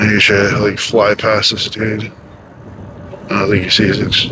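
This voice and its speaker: With audible room echo and noticeable background noise, a man with a fairly low pitch speaks with long, frequent pauses. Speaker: ebike vlogger and streamer. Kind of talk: casual vlog commentary while riding. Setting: outdoors on an ebike. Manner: loud at times.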